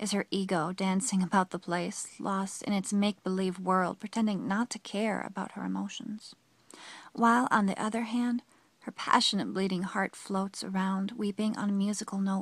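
A woman's somewhat breathy, medium-pitched voice in a dramatic tone, with fairly even intonation at a moderate pace, the sound dry and close with no echo. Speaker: poem reader. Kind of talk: poetry reading, solemn and reflective spoken-word performance. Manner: dramatic, melancholic, with emotive pauses.

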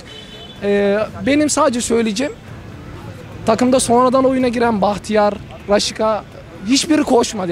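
A man with an extremely high pitch is heard in a dry sound with no echo and light background noise. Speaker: football fan. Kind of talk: street interview. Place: street. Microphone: handheld.

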